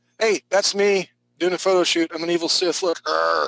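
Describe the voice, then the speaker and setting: The sound of this male speaker is dry and close, without any echo. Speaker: drawing instructor. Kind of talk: live online art class. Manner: fast; animated.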